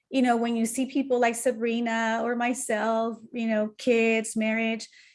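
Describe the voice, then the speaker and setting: At a fairly slow pace, a woman with a Spanish accent speaks in a fairly high, monotone voice with flat intonation. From Mexico. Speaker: entrepreneur. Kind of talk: casual chat.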